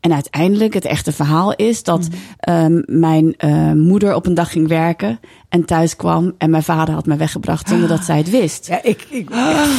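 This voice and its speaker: Here a woman has an ordinary speaking voice, fairly low in pitch. She talks at a moderate pace with ordinary pitch variation. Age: 40s. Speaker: author and broadcaster. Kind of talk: casual interview chat.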